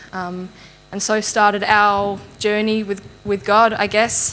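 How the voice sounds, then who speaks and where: A woman talks at a medium pitch with an Australian accent. Her intonation is monotone and flat. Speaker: church member giving testimony. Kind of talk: testimony. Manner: halting.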